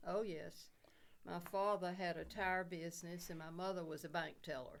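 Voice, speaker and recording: Speaking with an Alabama accent, a woman with a fairly low voice keeps a fairly even intonation at a moderate pace, with audible room echo around her. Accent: Southern US (Alabama). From US South, Dothan, Alabama. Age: 80s+. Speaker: war widow. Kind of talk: oral history interview. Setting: podcast studio.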